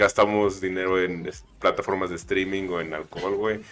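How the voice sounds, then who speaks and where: A man with a Mexican accent speaks at a very slow pace. Music plays in the background. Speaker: podcast co-host, anthropologist. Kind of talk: casual chat. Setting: studio.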